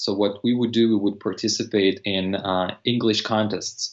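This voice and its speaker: Someone with a Russian accent talks at a moderate pace in a monotone, flat intonation. The background is quiet. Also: man. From eastern Ukraine. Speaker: language teacher and polyglot. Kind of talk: casual interview. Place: home room. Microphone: video call.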